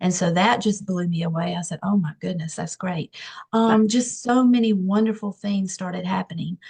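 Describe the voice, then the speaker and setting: A woman's somewhat breathy, medium-pitched voice with a dark, mellow tone, fairly even intonation and a moderate pace. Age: 60s. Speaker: nurse practitioner. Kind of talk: testimony. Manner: hesitant with many fillers.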